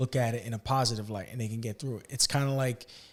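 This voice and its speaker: A man with a medium pitch and fairly even intonation sounds somewhat breathy on a very clean recording with a silent background. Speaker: podcast host. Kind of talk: casual chat.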